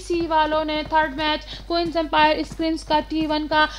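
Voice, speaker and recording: A woman with an extremely high voice speaks in a raised, projected way over noticeable background noise. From Pakistan. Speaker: esports streamer and commentator. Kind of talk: live commentary. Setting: live stream.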